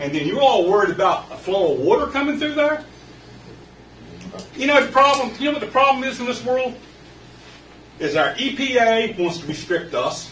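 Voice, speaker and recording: Speaking in an extremely high pitch with very wide pitch swings, a man leaves long, frequent pauses, with audible room echo and noticeable background noise. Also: moderate pace. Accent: American. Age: 60s. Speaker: local resident speaking at public comment. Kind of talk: public comment at council meeting. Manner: animated.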